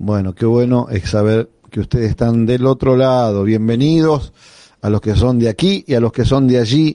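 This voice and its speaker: At a moderate pace, a man with a dark, mellow tone talks at a medium pitch with ordinary pitch variation in a dry, close sound with no echo. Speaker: pastor and radio host. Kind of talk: radio devotional and interview.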